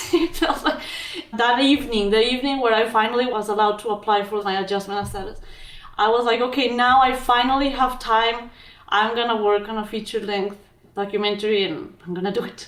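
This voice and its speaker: A woman with a strong Mexican accent, fairly high-pitched and very fast, in a room with audible echo. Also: ordinary pitch variation. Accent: thick Mexican Spanish. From Mexico. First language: Spanish. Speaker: physician and documentary filmmaker. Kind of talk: interview.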